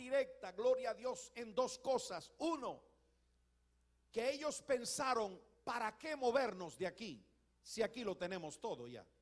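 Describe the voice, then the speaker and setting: Over a quiet background, the speech moves at a fairly slow pace. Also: man. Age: 60s. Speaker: pastor. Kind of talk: sermon. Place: church. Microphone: handheld.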